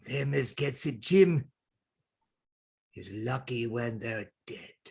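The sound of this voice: In a put-on character voice, a man speaks slowly at a medium pitch, slightly mellow with a slightly husky edge, vocal fry, and lively intonation.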